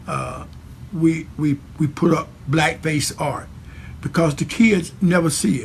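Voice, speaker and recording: Over noticeable background noise, a man talks at a very slow pace in a fairly high pitch with ordinary pitch variation. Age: 60s. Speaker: church leader. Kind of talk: speech. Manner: halting with many fillers.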